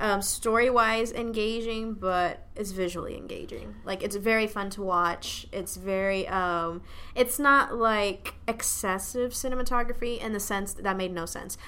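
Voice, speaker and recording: A woman with a bright, sharp tone speaks with hardly any pauses and fairly even intonation, with audible room echo. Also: fairly high pitch for a woman, fairly slow pace. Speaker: podcast co-host. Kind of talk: casual chat. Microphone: new microphone.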